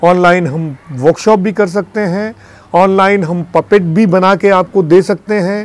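In a dry recording with no echo, a man speaks at a high pitch with ordinary pitch variation. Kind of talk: interview appeal. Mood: earnest pleading request. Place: studio.

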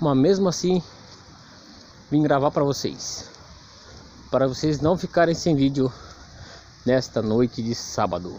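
A man with a fairly high pitch speaks slowly enough, with lively intonation and long, frequent pauses. The sound is dry with no echo, with light background noise. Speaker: cemetery vlogger. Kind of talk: casual vlog narration. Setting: outdoors in a cemetery at night. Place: rain. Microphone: phone near.

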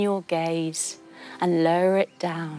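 Faint music plays in the background while a woman's voice comes through a dry sound with no echo. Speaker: kids yoga instructor. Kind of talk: storytelling yoga tutorial. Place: studio. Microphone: lapel.

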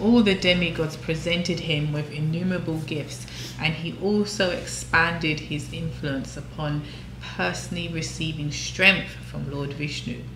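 A woman speaks with an English accent at a moderate pace. There is noticeable background noise. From England. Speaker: devotional scripture reading host; co-host, scripture teacher. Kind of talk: reading aloud of scripture; casual discussion. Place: home room. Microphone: camera far.

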